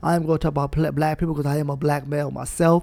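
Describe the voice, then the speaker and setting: A man with an American accent speaks in a passionate tone with a dark, mellow voice, captured in a dry, close sound with no echo. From Brooklyn, New York (Brownsville). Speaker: podcast host. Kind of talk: motivational monologue. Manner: passionate, preacher-like delivery; animated.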